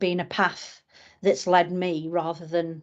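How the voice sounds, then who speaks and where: The voice has a northern English accent. The background is quiet. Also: woman. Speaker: suicide prevention campaigner. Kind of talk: podcast interview. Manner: halting, many fillers.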